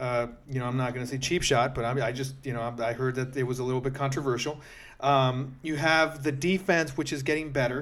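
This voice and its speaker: A man at medium pitch, fairly quick in pace and fairly even in intonation, with audible room echo. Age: 40s. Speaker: podcast host and amateur flag football player. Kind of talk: casual sports talk.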